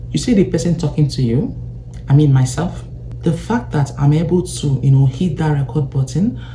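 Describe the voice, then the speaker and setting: Speech at a moderate pace comes with noticeable background noise behind it. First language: not English. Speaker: personal finance YouTuber. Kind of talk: vlog monologue to camera. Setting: seated recording at home.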